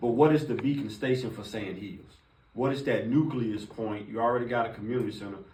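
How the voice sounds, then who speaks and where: A man's medium-pitched voice at a very fast pace with ordinary pitch variation, big swings in loudness and audible room echo. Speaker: city housing department official presenting to commissioners. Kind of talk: briefing presentation to officials.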